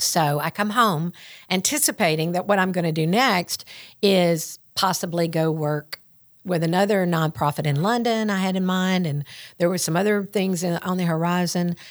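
In a Southern US accent, a woman speaks at a moderate pace with a fairly low pitch and ordinary pitch variation. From West Tennessee. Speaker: school communications director. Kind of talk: casual interview chat.

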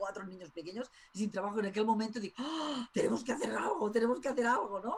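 Very fast speech from a woman, fairly high in pitch, with ordinary pitch variation, over noticeable background noise. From Spain. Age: 50s. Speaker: tarot school director. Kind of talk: interview.

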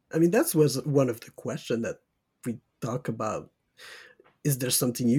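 A man with a dark, mellow, somewhat breathy tone talks at a moderate pace with ordinary pitch variation. His loudness swings widely, and he leaves long, frequent pauses. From Quebec, Saguenay-Lac-Saint-Jean. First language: French. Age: 20s. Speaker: podcast co-host. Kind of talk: casual chat.

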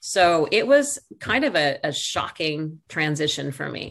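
With an American accent, a woman speaks fairly slowly in an ordinary speaking voice at a fairly low pitch. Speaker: former TV news anchor, realtor. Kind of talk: casual interview.

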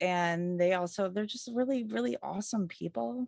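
Speaking at a moderate pace in a medium pitch, this woman has a plain, everyday voice. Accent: American. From Michigan, US Midwest. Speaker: moped rider. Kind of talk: casual chat.

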